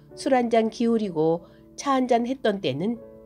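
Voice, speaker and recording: Against music in the background, a woman speaks at a fairly slow pace in a calm, gentle tone with lively intonation. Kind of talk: reflective essay narration.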